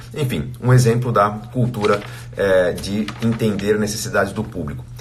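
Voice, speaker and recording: A man at a medium pitch and moderate pace, with ordinary pitch variation, noticeable background noise and audible room echo. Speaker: financial educator, live streamer. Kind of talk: casual live chat recap. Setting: live stream. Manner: halting, many fillers.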